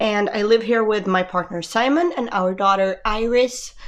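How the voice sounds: At a moderate pace, a woman speaks with a fairly bright tone, a medium pitch and ordinary pitch variation.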